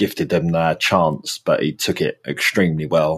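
A man speaking at a fairly slow pace. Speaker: podcast host. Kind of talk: casual chat. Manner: laid-back, joking.

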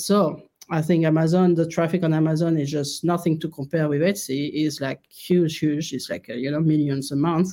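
A woman's fairly low, dark, mellow voice at a moderate pace. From France. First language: French. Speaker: clothing store founder. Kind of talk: interview, casual chat. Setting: remote call.

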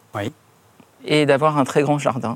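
A man speaks with fairly even intonation. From Paris. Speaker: perfumer. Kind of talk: interview. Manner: halting.

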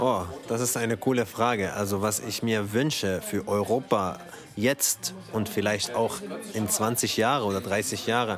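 Fairly slow, fairly even speech in an Arabic accent, with noticeable background noise. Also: man, fairly low pitch for a man. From Syria. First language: Arabic (speaking German). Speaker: actor and theatre director. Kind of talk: interview. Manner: halting, many repetitions and fillers.

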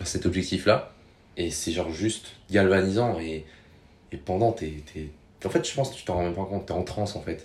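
A man's very deep, low voice, somewhat breathy, with ordinary pitch variation and long, frequent pauses. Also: moderate pace, big swings in loudness. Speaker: podcast guest. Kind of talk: casual chat. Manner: animated.

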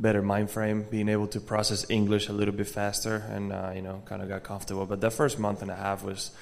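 A man with an American accent talks at a fairly quick pace in a fairly low, slightly mellow voice with vocal fry. His intonation stays monotone and flat.

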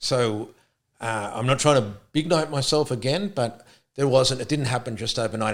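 This man has an unremarkable speaking voice. He talks at a moderate pace with ordinary pitch variation. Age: 50s. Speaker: sprint coach. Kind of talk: casual chat.

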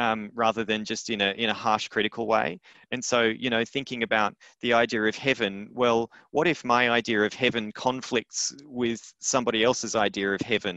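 With an Australian accent, the voice has a bright, sharp tone at a moderate pace. The sound is dry and close with no echo, over a quiet background. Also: man, medium pitch for a man. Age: 30s. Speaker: playwright and arts business educator. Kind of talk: interview. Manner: hesitant, repeats words.

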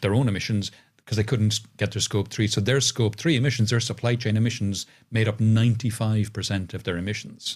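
The speaker is a man with a medium-pitched voice. It comes across somewhat breathy. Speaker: futurist and podcaster. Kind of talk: casual interview chat. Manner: animated, expressive intonation.

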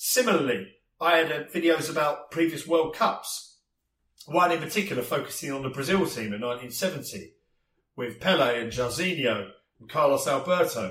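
A man with an English accent speaks at a moderate pace in a fairly high voice, his intonation lively, his loudness swinging widely, with vocal fry. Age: 40s. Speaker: podcast host. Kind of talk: casual chat.

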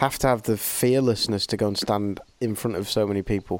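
In an English accent, a man with a fairly low pitch talks at a fairly quick pace with fairly even intonation, in a dry, close sound with no echo. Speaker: podcast host. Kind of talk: casual chat. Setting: video call.

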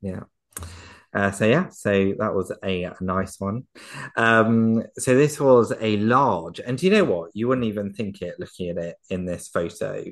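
Speaking in a southern English accent at a fairly slow pace, a man with a fairly low pitch uses lively intonation against a quiet background. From England, Surrey. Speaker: poultry podcast co-host and fancier. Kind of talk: casual chat. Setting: remote recording.

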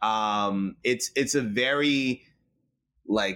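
A fairly low-pitched man with an American accent and a bright, sharp tone, in a very clean recording with a silent background. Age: 30s. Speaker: marketing executive. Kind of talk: interview.

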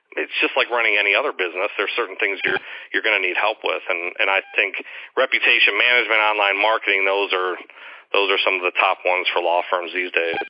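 A man's fairly low voice at a very fast pace, with fairly even intonation, very even loudness and noticeable background noise. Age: 40s. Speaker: legal marketing consultant and attorney. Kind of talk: interview.

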